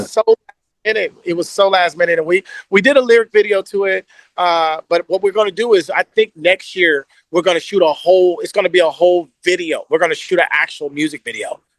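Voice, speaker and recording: A man with an American accent speaks at high pitch with ordinary pitch variation, in a dry, close sound with no echo. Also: fairly quick pace. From Kansas City, Missouri. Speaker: R&B singer. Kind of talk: interview answer. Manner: casual, relaxed.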